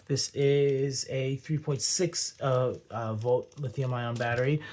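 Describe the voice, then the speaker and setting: Speaking at a very slow pace, a man uses a medium-pitched, somewhat breathy voice. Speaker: phone collector YouTuber. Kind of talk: unboxing video. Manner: hyperactive.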